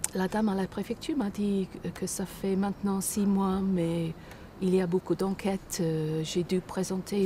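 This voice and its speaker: A fairly low-pitched woman with an English accent speaks fairly slowly in a flat monotone, her tone dark, mellow and somewhat breathy. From Britain. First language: English (speaking French). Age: old. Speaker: retiree seeking citizenship. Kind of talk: interview. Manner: halting.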